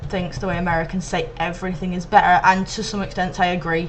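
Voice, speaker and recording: A woman talks at a fairly quick pace and medium pitch with monotone, flat intonation, her voice carrying audible room echo. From Manchester, England. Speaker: video blogger. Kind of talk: reading word list, casual vlog. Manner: hesitant, many ums.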